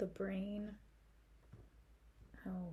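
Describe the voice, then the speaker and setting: A soft-spoken woman talks at a very slow pace and medium pitch, her tone gentle, dark and mellow. Her intonation is monotone and flat, with vocal fry. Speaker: ASMR creator doing a school librarian roleplay. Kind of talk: ASMR roleplay talking to the listener. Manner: soft-spoken, gentle, friendly.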